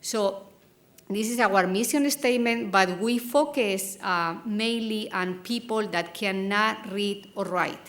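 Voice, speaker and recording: A woman's medium-pitched voice in a Spanish accent, at a very slow pace with ordinary pitch variation, amid audible room echo. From Spain. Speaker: academic program co-founder. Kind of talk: conference presentation.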